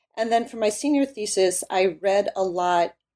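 On a very clean recording with a silent background, a woman with an American accent speaks in a fairly high, dark, mellow voice that makes very wide pitch swings. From US Midwest, Illinois. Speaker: history professor and author. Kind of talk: interview.

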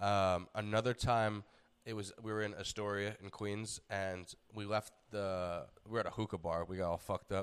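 The speaker has an American accent and a monotone, flat intonation on a very clean recording with a silent background. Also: man, fairly low pitch for a man, moderate pace. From New York. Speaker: comedian and fitness podcast host. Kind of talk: casual chat.

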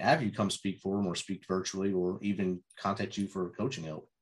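At a moderate pace, a man talks in a normal speaking voice with a fairly low pitch. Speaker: podcast host. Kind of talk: podcast host interview and intro. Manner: earnest, encouraging.

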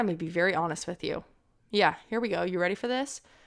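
With vocal fry and ordinary pitch variation, a woman speaks in a very clean recording with a silent background. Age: 20s. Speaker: podcast host. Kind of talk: solo personal reflection podcast. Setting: home, sitting on living room floor. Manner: casual, rambling with fillers.

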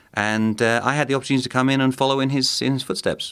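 A man with a southern English accent, on a very clean recording with a silent background. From southeast England, Kent. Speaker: think tank director, Mexico expert. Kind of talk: interview.

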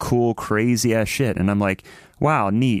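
The man's voice is a normal speaking voice at medium pitch, with an American accent. The sound is dry and close, with no echo. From Ohio. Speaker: touring musician. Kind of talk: casual chat.

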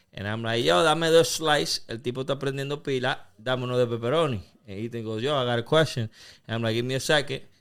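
Speaking at a very fast pace with ordinary pitch variation, a man with a medium-pitched voice comes through on a very clean recording with a silent background. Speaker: podcast host. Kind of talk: casual chat.

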